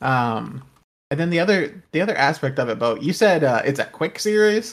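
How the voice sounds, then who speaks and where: A man speaks with lively intonation. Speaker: podcast host. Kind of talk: casual chat.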